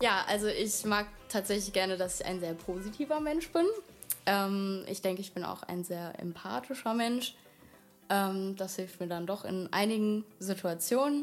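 A woman's medium-pitched voice with long, frequent pauses. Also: lively intonation, fairly slow pace. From Germany, Wiesbaden (Hesse). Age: 20s. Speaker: model. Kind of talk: casual interview. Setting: studio, shared microphone.

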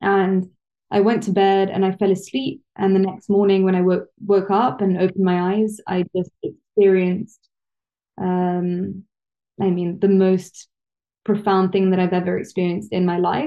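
Speech comes at a moderate pace. The voice has a London accent. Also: woman, medium pitch for a woman, fairly even intonation. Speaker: research psychologist and yoga teacher. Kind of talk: interview conversation.

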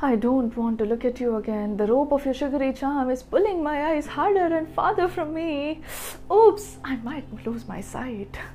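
A woman talks at a moderate pace in a high pitch with lively intonation. Noticeable background noise is present. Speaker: poet and podcast host. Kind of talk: poetry performance, emotional spoken-word love poem. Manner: dreamy, wistful, tender with longing.

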